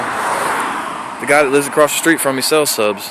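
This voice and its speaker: Pitched at a medium level, a man's voice sounds over noticeable background noise. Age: 30s. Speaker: recovering addict vlogger. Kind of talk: personal testimony vlog. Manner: fast; animated.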